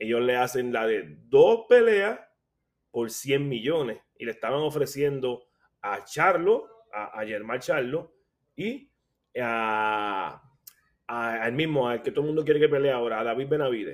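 Here a man speaks fairly slowly in an ordinary speaking voice. His medium pitch shows ordinary variation. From Puerto Rico, Caguas. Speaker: boxing analyst and blogger. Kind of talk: casual chat.

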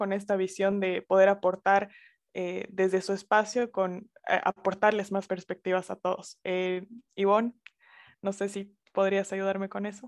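Against a quiet background, a woman speaks fairly slowly at a medium pitch in a monotone, flat intonation. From Bolivia, Sucre. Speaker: podcast host. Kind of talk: interview. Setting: video call.

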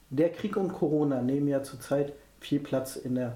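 Delivered at a moderate pace, an ordinary speaking voice carries ordinary pitch variation. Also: man. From near Hannover, Germany. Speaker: podcast host. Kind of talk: interview.

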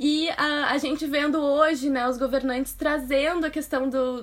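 Through noticeable background noise, a woman speaks at a high pitch and a fairly slow pace with monotone, flat intonation. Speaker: astrologer, podcast host. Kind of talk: casual chat.

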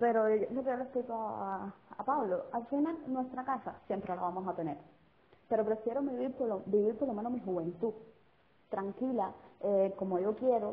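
A woman speaks in a Cuban accent at a fairly high pitch. Her pace is moderate and her pitch varies in an ordinary way. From Cuba, Sagua. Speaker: guest. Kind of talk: casual chat. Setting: phone call.

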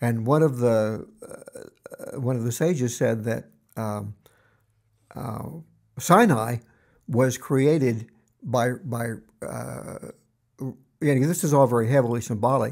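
Speaking at a very slow pace with long, frequent pauses, a man uses a medium-pitched voice with ordinary pitch variation and big swings in loudness. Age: 70s. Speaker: podcast host. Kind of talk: casual interview discussion. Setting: video call.

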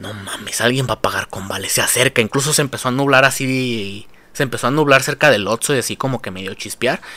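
The speaker has an animated tone and lively intonation. The pace is fairly quick. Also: man. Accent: Mexican. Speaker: podcast host. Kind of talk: comedic rant.

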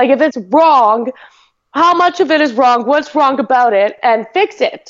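This woman's pitch is high, with ordinary variation. She keeps a fairly slow pace.

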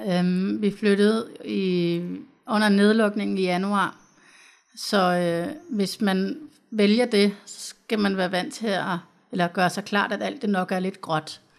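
In a very clean recording with a silent background, a woman speaks at a very slow pace with a medium pitch and ordinary pitch variation. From Copenhagen, Denmark. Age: 30s. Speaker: social worker. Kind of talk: interview. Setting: studio.

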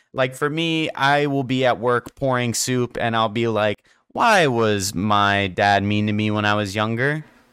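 A man with an American accent and a plain, everyday voice speaks at a medium pitch with ordinary pitch variation, very even loudness and hardly any pauses, on a very clean recording with a silent background. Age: 20s. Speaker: podcast host. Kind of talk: casual monologue.

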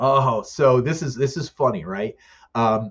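A man with an American accent speaks at a moderate pace, his medium-pitched voice somewhat breathy. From Pennsylvania, Poconos. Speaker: event producer and company CEO. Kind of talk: casual interview.

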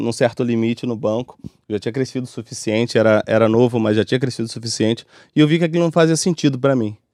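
Speaking in a Rio de Janeiro accent with ordinary pitch variation, a man is captured with a dry, close sound and no echo. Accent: Rio de Janeiro Brazilian Portuguese (carioca). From Brazil, Rio de Janeiro (Bangu). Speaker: music producer and songwriter. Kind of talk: casual interview chat. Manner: casual, with many fillers and repetitions.

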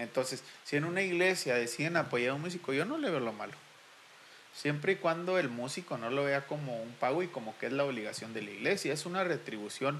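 A man at fairly high pitch with ordinary pitch variation, amid noticeable background noise. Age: 30s. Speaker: church musician. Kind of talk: casual chat.

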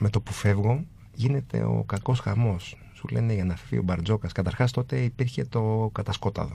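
Speaking at a moderate pace with hardly any pauses, a man with a fairly low pitch and a dark, mellow tone sounds somewhat breathy, his pitch varying in an ordinary way. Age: 40s. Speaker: design entrepreneur. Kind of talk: casual interview.

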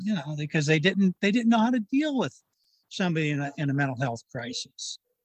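A man talks in an ordinary speaking voice with lively intonation. The sound is dry and close, with no echo. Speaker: nonprofit board member, parent of son. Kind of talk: interview.

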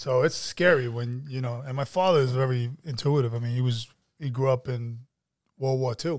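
With a New York accent, the speaker talks at a moderate pace with fairly even intonation in a very clean recording with a silent background. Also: man, medium pitch for a man. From New York City (Queens, Brooklyn). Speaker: actor and filmmaker. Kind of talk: casual chat.

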